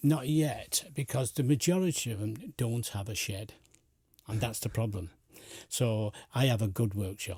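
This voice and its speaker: A man speaks at a moderate pace with a dark, mellow, somewhat breathy tone and lively intonation. The recording is very clean, with a silent background. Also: medium pitch for a man. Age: 70s. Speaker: community volunteer, retired engineer. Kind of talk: radio interview. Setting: radio studio.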